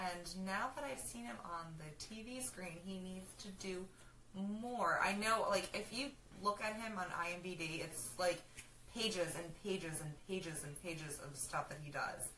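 A woman speaks at medium pitch with lively intonation and big swings in loudness. Noticeable background noise runs underneath. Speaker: pop culture vlogger. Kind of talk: casual chat. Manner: excitable.

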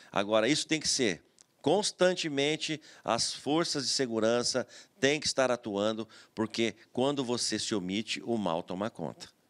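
A man with a plain, everyday voice talks fairly slowly at medium pitch, his intonation lively. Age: 50s. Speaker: retired federal highway police officer and former city councillor; interview guest. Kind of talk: TV interview. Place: studio. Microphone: studio mic.

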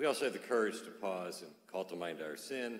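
Against a quiet background with audible room echo, a man with a very deep, low pitch speaks at a moderate pace with ordinary pitch variation. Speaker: priest celebrating Mass. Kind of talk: liturgical prayer. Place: church.

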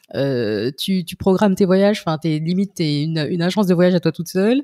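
A woman's dark, mellow voice at medium pitch, lively in intonation and fairly quick, in a dry, close sound with no echo. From French Caribbean, Haitian descent. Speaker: podcast host. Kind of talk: casual interview chat; scripted intro. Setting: remote call.

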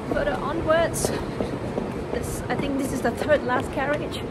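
A woman talks at a fairly slow pace, with loud background noise all around. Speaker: travel vlogger. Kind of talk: casual vlog chat. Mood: cheerful, excited. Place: station. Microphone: phone near.

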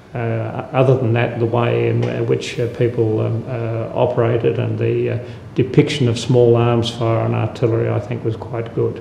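A man at medium pitch talks at a moderate pace with few pauses and little pitch movement. There is vocal fry and audible room echo.

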